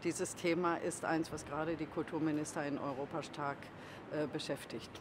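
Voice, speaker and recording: The woman's pitch is very deep and low, and her intonation is monotone and flat. She keeps a moderate pace. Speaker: culture minister of Germany. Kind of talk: press statement at doorstep before meeting.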